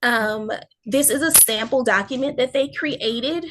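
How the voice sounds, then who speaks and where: An ordinary speaking voice at a fairly slow pace, with ordinary pitch variation against a quiet background. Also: woman. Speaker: school district staff presenter. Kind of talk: presentation in online meeting.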